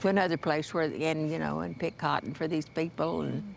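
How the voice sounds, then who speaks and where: A woman with an American accent, a normal speaking voice, fairly low pitch and a moderate pace. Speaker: Chickasaw elder telling life memories. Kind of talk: interview answer, recalling childhood memories.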